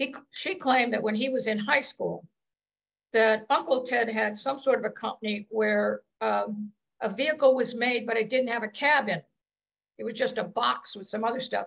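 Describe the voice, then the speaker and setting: A woman with an American accent, fairly high in pitch with vocal fry, at a moderate pace with big swings in loudness. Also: ordinary pitch variation, quiet background. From Scranton, Pennsylvania; Pennsylvania. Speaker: audience member. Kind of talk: personal anecdotes. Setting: video call. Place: home room. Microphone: video call.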